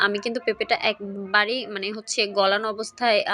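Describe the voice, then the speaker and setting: A woman's fairly high voice with fairly even intonation amid noticeable background noise. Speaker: cooking vlogger. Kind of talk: cooking tutorial.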